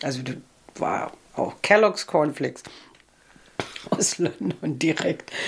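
With a Berlin accent and lively intonation, a woman speaks at a fairly slow pace over noticeable background noise. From East Berlin. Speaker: author. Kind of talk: interview. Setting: at home.

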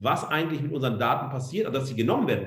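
A man is speaking. The room echo is audible. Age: 40s. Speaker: media studies professor. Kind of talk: lecture. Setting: online talk.

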